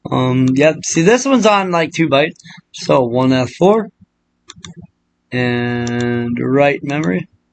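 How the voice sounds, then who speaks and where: The speaker moves at a very slow pace, with long, frequent pauses. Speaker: ROM hacking tutorial maker. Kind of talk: screen-recorded tutorial. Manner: casual, rambling with fillers.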